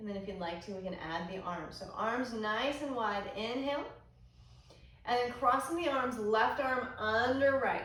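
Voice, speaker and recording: In an American accent, a woman talks at a moderate pace with a fairly high pitch, a calm tone and ordinary pitch variation, and some room echo is audible. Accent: Texas accent, occasional. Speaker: yoga instructor. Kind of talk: guided yoga class. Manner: calm, instructive.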